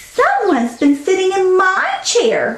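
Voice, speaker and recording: Delivered fairly slowly, the voice is a put-on character one. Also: woman, extremely high pitch for a woman. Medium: read story.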